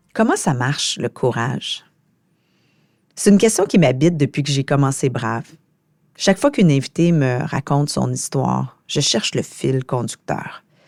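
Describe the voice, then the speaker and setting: Against a silent background in a very clean, dry and close recording with no echo, a woman with a very deep, low pitch and vocal fry uses lively intonation, leaving long, frequent pauses. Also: moderate pace. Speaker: podcast host. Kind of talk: solo podcast reflection.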